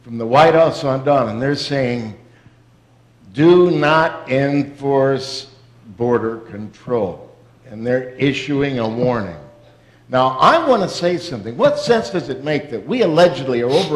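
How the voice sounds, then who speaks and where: Against noticeable background noise, a man talks fairly slowly. His pitch is fairly high and varies in an ordinary way. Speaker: pastor hosting the event. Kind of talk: sermon-style host speech at a church event.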